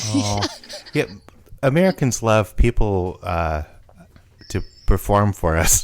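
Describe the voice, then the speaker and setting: A man with a fairly low voice and a slight Minnesota accent talks at a fairly slow pace. His intonation is lively, broken by long, frequent pauses. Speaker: podcast co-host. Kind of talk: casual chat.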